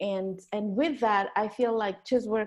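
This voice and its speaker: Against a quiet background, a woman with a non-native accent speaks at a fairly high pitch with fairly even intonation. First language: not English. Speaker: interview show host and clown teacher. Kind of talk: interview conversation. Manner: halting, many repeated words.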